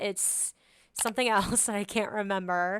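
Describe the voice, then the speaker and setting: A woman speaks with a fairly high pitch. Her tone is bright and sharp, and her intonation fairly even. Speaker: podcast host. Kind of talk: casual solo podcast talk. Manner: chatty, informal.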